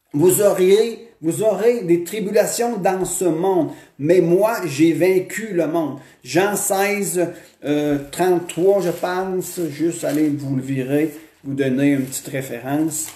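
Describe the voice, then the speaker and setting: Audible room echo surrounds a man speaking very slowly at a high pitch. His pitch varies in an ordinary way while his loudness swings widely. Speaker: pastor. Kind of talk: sermon.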